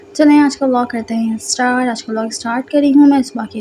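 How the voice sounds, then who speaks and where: Over noticeable background noise, a woman talks at a high pitch with fairly even intonation. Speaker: vlogger. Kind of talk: vlog voice-over.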